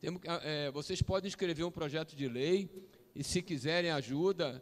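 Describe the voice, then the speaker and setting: A man is speaking. His pace is moderate. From Brazil, Cabo Frio (Rio de Janeiro state). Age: 60s. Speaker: round table panelist. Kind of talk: panel discussion. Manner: animated.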